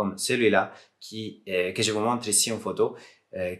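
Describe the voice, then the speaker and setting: With an Italian accent, a man talks at a moderate pace in a fairly low voice with fairly even intonation. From Southern Italy. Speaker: software developer and PC modder; streamer. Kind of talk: casual talk to camera.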